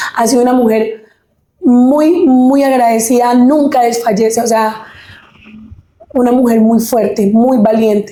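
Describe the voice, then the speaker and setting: In a room with audible echo, a woman with a high-pitched voice and a dark, mellow tone speaks at a fairly slow pace with long, frequent pauses, fairly even intonation and very even loudness. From Colombia, Huila (Pitalito), born in Caquetá. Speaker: singer. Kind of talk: interview testimony.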